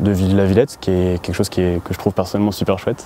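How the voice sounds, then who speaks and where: A man's fairly low voice races along very fast with noticeable background noise in the mix. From western France (Laval). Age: 20s. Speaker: beekeeper and student. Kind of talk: interview monologue. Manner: hesitant, many fillers.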